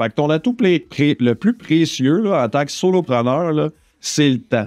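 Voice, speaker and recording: A man with a Quebec accent at a fairly high pitch and a fairly slow pace, with very wide pitch swings and very even loudness, in a dry, close sound with no echo and music in the background. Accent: Québécois French. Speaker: online business podcaster. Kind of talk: solo podcast monologue. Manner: casual, many fillers and repetitions.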